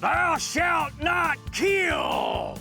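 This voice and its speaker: A man shouts in a put-on character voice at an extremely high pitch, his tone angry and theatrical. Clear music plays in the background. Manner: angry, theatrical.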